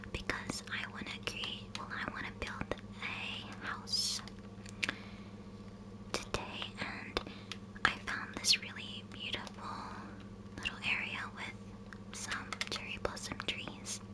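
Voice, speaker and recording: Amid loud background noise, the speech goes at a very slow pace with long, frequent pauses. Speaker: gaming ASMR creator. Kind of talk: ASMR gameplay narration, casual talk to camera. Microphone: studio mic.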